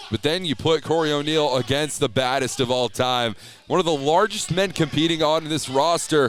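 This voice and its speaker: A man's normal speaking voice, fairly high in pitch, with ordinary pitch variation, very even loudness and a moderate pace. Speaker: color commentator for pro wrestling. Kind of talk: live pro wrestling color commentary.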